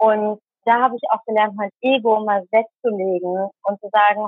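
A woman speaks at a moderate pace with fairly even intonation. She has a normal speaking voice, pitched fairly high. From Germany, Tamil Sri Lankan family. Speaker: speaker and volunteer crew manager. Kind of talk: interview. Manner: many filler sounds.

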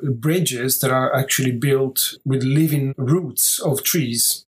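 A man's fairly high, somewhat breathy voice with an Italian accent and fairly even intonation. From southern Italy. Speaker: architect. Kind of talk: interview.

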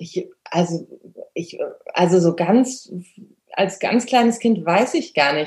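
A woman speaks at a fairly slow pace in a medium pitch. Her voice is somewhat breathy, with ordinary pitch variation. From Germany. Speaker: dog trainer and photographer. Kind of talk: interview. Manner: hesitant, many fillers.

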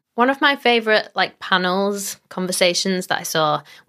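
A woman talks at a moderate pace with a fairly low pitch and ordinary pitch variation. She has an unremarkable speaking voice on a very clean recording with a silent background. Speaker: podcast host. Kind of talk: casual interview chat. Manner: upbeat, friendly.

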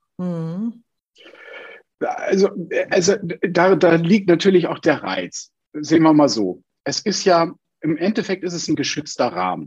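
Long, frequent pauses mark a man's fairly slow speech, high in pitch with ordinary pitch variation. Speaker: actor and speech coach. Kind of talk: interview. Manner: talkative.

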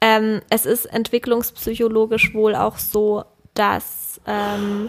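A woman is speaking. Her pitch is fairly high. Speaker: podcast co-host, parent. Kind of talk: casual chat.

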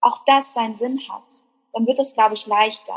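Her high-pitched voice stays monotone and flat as the woman talks at a fairly slow pace. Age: 20s. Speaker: blogger and workshop leader. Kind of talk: casual chat.

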